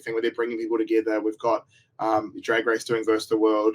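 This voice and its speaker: Very fast speech from a man with a New Zealand accent and medium pitch. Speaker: reality TV contestant and online game creator. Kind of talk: casual interview chat. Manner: halting, many false starts.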